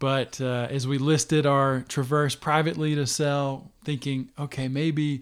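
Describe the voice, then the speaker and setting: On a very clean recording with a silent background, a man with an unremarkable speaking voice talks at a fairly high pitch with fairly even intonation. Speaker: podcast guest sharing car-buying story. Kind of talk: casual chat.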